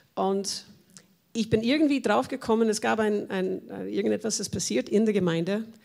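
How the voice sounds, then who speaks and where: In a very clean recording with a silent background, a woman with an American accent talks at medium pitch. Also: ordinary pitch variation, moderate pace. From USA. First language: English (speaking German). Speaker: church member, former missionary. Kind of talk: personal testimony in panel talk.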